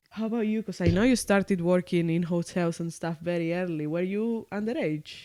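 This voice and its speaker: The speaker talks at a fairly quick pace with a non-native accent and hardly any pauses. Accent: own foreign accent kept. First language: Spanish. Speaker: podcast co-host. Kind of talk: casual chat.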